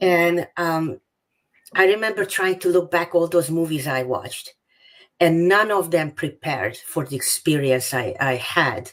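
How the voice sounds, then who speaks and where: With a Hungarian accent, the speaker talks at a fairly slow pace with ordinary pitch variation. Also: woman. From Hungary. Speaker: author. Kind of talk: interview.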